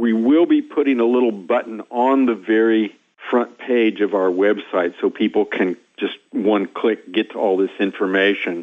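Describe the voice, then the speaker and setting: In a Midwestern US accent, a man speaks at a moderate pace and medium pitch with very even loudness. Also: ordinary pitch variation. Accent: US Midwest. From Kansas. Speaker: scientist and professor. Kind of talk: phone interview. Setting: phone call.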